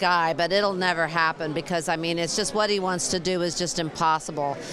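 A woman at a fairly quick pace, with a dry sound with no echo and noticeable background noise. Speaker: interviewee. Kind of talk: interview answer. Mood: emotional, earnest. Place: hall. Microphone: handheld.

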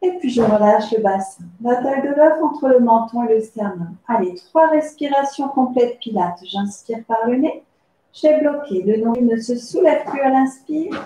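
Audible room echo surrounds a woman whose high-pitched voice has a dark, mellow tone. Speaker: pilates instructor. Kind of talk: tutorial. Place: home room. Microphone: camera far.

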